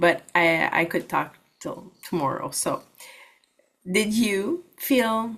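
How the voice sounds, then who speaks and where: Using very wide pitch swings around a medium pitch, a woman with a Quebec accent speaks at a very slow pace with long, frequent pauses. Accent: Québécois French accent in English. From Quebec, Canada. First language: French. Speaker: holistic practitioner and network marketer. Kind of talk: workshop presentation.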